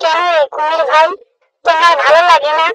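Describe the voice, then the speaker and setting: A squeaky, cartoonish character voice pitched extremely high. It keeps a moderate pace with monotone, flat intonation. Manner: wary, sly.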